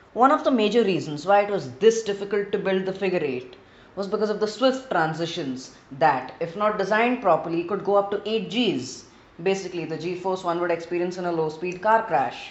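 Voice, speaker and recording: The speaker has an Indian accent and talks at a fairly quick pace. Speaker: gaming video creator. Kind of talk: gameplay narration.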